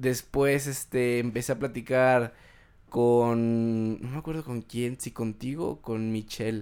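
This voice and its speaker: Over a silent background in a very clean recording, a man at a medium pitch speaks very slowly with fairly even intonation and big swings in loudness. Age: 20s. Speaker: podcast host. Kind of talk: casual chat.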